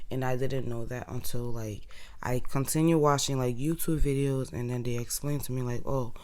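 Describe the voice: Her pitch is extremely low for a woman. She keeps a moderate pace and fairly even intonation.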